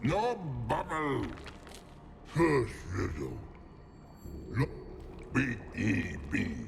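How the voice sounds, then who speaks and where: Using a put-on character voice, a man talks at a very slow pace with long, frequent pauses over clear background noise. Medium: video game. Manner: broken, simple speech.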